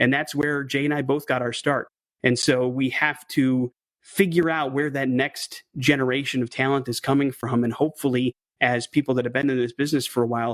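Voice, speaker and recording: With a dry, close sound and no echo, a man speaks with an American accent at a fairly quick pace, his medium pitch held in a monotone, flat intonation. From southeastern Wisconsin. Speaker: radio DJ and program director. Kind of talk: casual interview chat.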